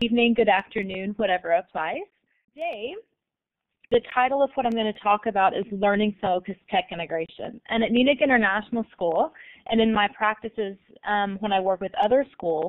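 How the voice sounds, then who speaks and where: In an American accent, an unremarkable speaking voice moves at a fairly quick pace with ordinary pitch variation. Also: woman, fairly high pitch for a woman. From United States. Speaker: learning technology coordinator and consultant. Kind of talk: online guest presentation / webinar.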